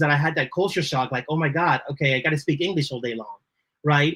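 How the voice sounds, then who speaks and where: A man with a Spanish accent, ordinary pitch variation and a very fast pace. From Dominican Republic, then Lawrence, Massachusetts. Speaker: creative director. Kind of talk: podcast interview.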